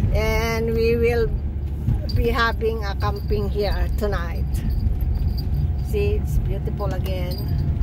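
Speech comes at a very slow pace with long, frequent pauses. The sound is dry with no echo, under loud background noise. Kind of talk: casual travel vlog commentary. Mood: cheerful, excited. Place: car. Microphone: phone near.

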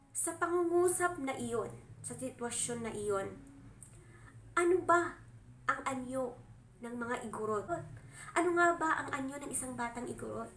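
A woman with a high pitch and lively intonation speaks at a fairly slow pace, pausing long and often. Her loudness swings widely, and the room echo is audible. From Cordillera, northern Philippines (Igorot). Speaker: vlogger. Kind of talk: solo vlog commentary. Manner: formal.

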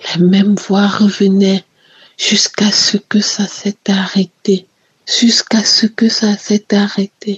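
The speech moves at a very slow pace. Its intonation is monotone and flat. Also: woman, medium pitch for a woman. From Cameroon, Yaoundé. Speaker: testimony giver. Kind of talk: testimony.

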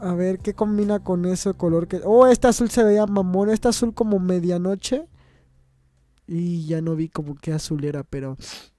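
A high-pitched man with a Mexican accent and a dark, mellow tone, on a very clean recording with a silent background. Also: ordinary pitch variation, moderate pace. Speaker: gaming youtuber. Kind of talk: gameplay commentary. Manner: animated.

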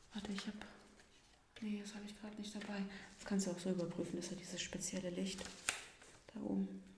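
Noticeable noise sits in the background. The talking is very fast. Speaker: investigator in role-play. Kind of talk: ASMR role-play, quiet conversational talk. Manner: whispered, soft-spoken. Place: studio.

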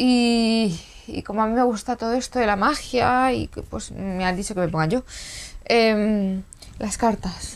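A woman's voice over light background noise. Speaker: stand-in psychic host, comic sketch. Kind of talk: comedic improvised monologue to camera. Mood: hesitant, rambling, playful.

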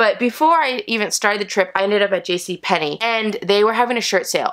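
The background is quiet. A woman talks at a fairly quick pace. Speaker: haul vlogger. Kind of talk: casual vlog chat. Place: home room. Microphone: camera far.

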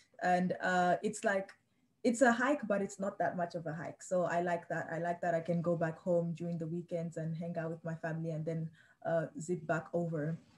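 Somewhat breathy, with fairly even intonation. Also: woman, fairly low pitch for a woman, moderate pace. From Delaware. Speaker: student resident assistant. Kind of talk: guided campus tour; virtual tour guide chat. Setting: video call. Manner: hesitant, with many fillers. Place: home room. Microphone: video call.

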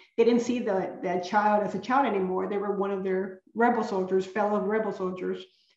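Speaking at a moderate pace with a Spanish accent and fairly even intonation, the voice carries audible room echo against a quiet background. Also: woman. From San Antonio, Texas (born in Coahuila, Mexico); San Antonio, Texas. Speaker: children's author. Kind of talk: author talk with slides. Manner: halting, frequent word repetitions. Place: home room. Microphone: webcam.

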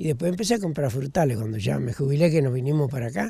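A man talks at a very fast pace with lively intonation, over a quiet background with dry sound and no echo. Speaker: retired home gardener. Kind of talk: interview. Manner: halting. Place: garden. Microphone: handheld.

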